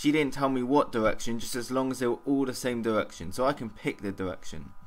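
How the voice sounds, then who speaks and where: This man talks at a fairly quick pace with a medium pitch. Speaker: vlogger. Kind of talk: casual vlog monologue. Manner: halting, stumbling over words.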